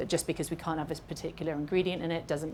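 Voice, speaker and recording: In a British accent, a woman speaks with a very deep, low pitch and monotone, flat intonation. Her voice has audible room echo. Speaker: makeup artist educator. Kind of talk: live masterclass Q&A. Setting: stage with live and Zoom audience.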